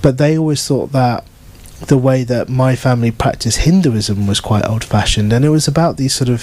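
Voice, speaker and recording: Speaking fairly quickly in a British accent, a man keeps a medium pitch with ordinary variation and very even loudness. Background noise is noticeable. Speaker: novelist. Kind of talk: book event Q&A. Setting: bookshop event with audience.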